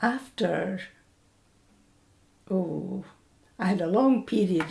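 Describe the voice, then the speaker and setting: A woman with a Scottish accent speaks at a very slow pace. Noticeable background noise runs behind her. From Scotland, Falkirk. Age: 80s+. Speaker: oral history interviewee, retired bank worker. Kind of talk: oral history interview. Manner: hesitant with fillers.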